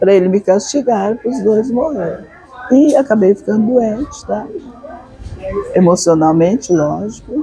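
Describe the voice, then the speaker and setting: Through noticeable background noise, a woman speaks at a fairly slow pace with long, frequent pauses. Her fairly high voice carries lively intonation. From northern São Paulo state, Brazil (Franca region). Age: 80s+. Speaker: author. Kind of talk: interview. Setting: literary festival venue.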